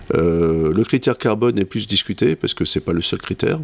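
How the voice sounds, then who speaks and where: A man talks at a moderate speed, his voice very deep and low. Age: 50s. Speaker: company director. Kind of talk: interview. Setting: his office.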